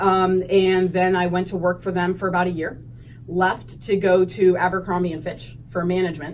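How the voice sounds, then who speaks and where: With an American accent, a woman at medium pitch talks at a fairly quick pace. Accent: Pennsylvania accent, per others. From northeast Ohio (Hubbard, near Youngstown). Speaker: high school teacher. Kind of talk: interview.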